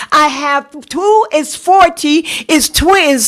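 Noticeable background noise sits behind a woman with a South Carolina accent. Her voice is extremely high in pitch, with ordinary pitch variation. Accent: Southern US, South Carolina. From US South, South Carolina. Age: 70s. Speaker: parent, public commenter. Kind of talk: public comment at board meeting. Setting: school board meeting.

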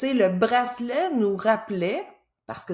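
Against a quiet background, a woman with a Quebec accent speaks with lively intonation. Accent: Québécois French. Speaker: business coach. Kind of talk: solo educational video talk. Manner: casual. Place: home room. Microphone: webcam.

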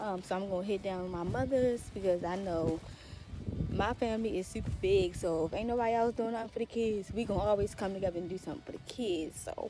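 Over clear music in the background, a woman talks very fast with ordinary pitch variation in a dry sound with no echo. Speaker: vlogger. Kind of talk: casual vlog chat. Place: street. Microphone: phone near.

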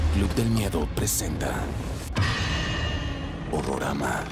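A man at a very slow pace amid loud background noise. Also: dry sound with no echo. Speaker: voice actor. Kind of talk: TV channel promo announcer. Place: booth. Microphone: studio mic.

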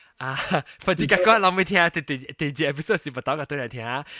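The recording has a dry, close sound with no echo. A man speaks at a fairly high pitch in a bright, sharp tone. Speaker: podcast host. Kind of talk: casual chat. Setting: video call.

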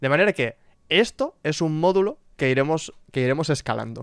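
Against a quiet background, a man speaks in a fairly high pitch with lively intonation, and the sound is dry with no echo. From Catalonia. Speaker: streamer. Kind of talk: casual chat while gaming. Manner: halting, many fillers. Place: home room.

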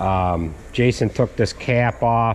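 A man at a very slow pace with ordinary pitch variation, over noticeable background noise. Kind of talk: casual repair vlog narration. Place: workshop. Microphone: phone near.

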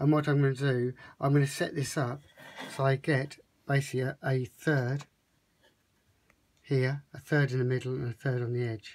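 A man's somewhat breathy voice at a fairly slow pace, with fairly even intonation. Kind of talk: tutorial. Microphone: phone near.

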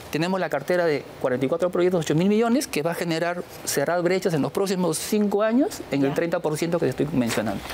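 A man with a high pitch speaks at a moderate pace with hardly any pauses and very even loudness. Light background noise can be heard. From Peru. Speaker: public official, engineer; interviewee. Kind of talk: TV interview. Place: studio.

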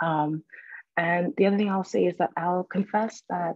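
The speaker talks quietly at a moderate pace. The intonation stays fairly even. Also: woman. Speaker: English professor. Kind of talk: lecture. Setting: video call. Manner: very quiet.

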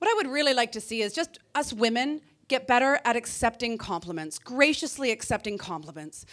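Over a quiet background, a woman talks in an animated tone. Her pitch moves in very wide swings. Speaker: comedian. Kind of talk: stand-up comedy set. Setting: stage with audience. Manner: animated, punchy; acts out voices of women and men for contrast. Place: stage. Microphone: handheld.

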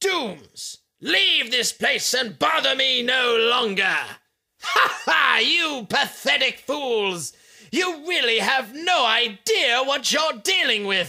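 Very slowly, a man speaks in a raised, projected voice at an extremely high pitch, with very wide pitch swings and very even loudness. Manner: charismatic, sneering.

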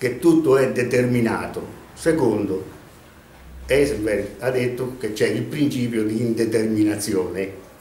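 A man's fairly slow speech with ordinary pitch variation, audible room echo and light background noise. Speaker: storyteller. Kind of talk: casual monologue storytelling. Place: home room. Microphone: camera far.

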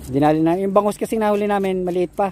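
The pace is fairly quick. A man speaks with a dark, mellow tone.

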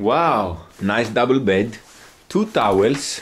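Speaking with a Greek accent, a man lets his pitch swing very widely. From Greece. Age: 20s. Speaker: travel vlogger. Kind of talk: casual vlog chat. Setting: outdoors. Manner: animated.

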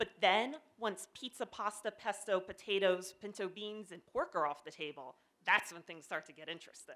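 Speaking at a moderate pace in an American accent, a woman has a bright, sharp tone and big swings in loudness. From Pennsylvania. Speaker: development editor telling a personal story; presenter. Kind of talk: short presentation talk. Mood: humorous, lively. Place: stage. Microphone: handheld.

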